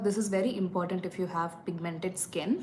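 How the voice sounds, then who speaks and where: With a Tamil accent, a woman speaks at medium pitch and a moderate pace. Room echo is audible, and there is noticeable background noise. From India, Tamil. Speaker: beauty vlogger. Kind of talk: live makeup tutorial. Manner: casual, hesitant fillers.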